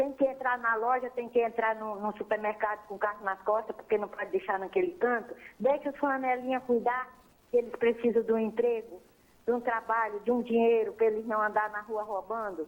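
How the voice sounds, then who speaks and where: Speaking at a fairly quick pace with a fairly high pitch and ordinary pitch variation, a woman is heard over noticeable background noise. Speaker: caller. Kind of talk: phone-in complaint. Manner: animated, indignant.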